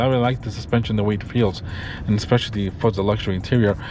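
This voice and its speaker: The pace is very fast as a man speaks. Noticeable background noise is present. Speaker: car reviewer vlogger. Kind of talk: POV car review while driving. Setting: in a car. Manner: excited.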